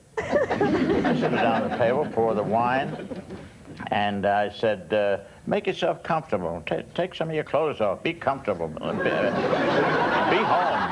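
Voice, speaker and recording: Amid noticeable background noise, a man's voice makes very wide pitch swings. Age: 80s+. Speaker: elderly advice panelist. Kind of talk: anecdote on TV panel show.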